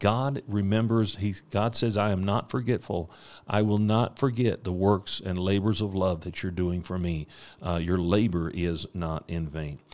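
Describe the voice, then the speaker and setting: A man's fairly low-pitched voice, a plain, everyday voice, with an American accent, lively intonation and a fairly slow pace, in a very clean recording with a silent background. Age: 40s. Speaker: missionary preacher. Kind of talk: ministry update; devotional podcast sermon. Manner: frequent fillers and repetitions.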